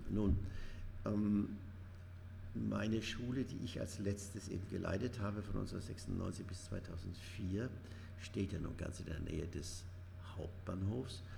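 Over noticeable background noise and audible room echo, a man with a very deep, low pitch speaks at a fairly slow pace with fairly even intonation and long, frequent pauses. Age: 70s. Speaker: retired headteacher, charity chairman. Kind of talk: interview. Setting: room above a train station.

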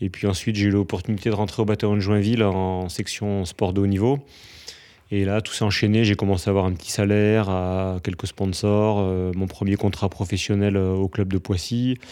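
A man talks with a dark, mellow tone at a fairly low pitch. His intonation is monotone and flat. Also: moderate pace. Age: 40s. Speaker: former pro triathlete and triathlon coach. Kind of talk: interview.

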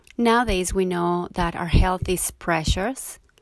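A woman speaks with a Spanish accent. Her pace is fairly slow, with ordinary pitch variation. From Mexico. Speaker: yoga teacher and podcast host. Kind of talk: podcast monologue.

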